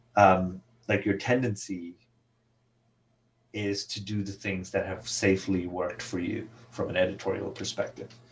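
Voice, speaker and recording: In a non-native accent, a man speaks with fairly low pitch, a somewhat breathy voice and monotone, flat intonation, pausing long and often. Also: moderate pace. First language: not English. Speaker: comic book writer. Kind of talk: interview. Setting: podcast recording.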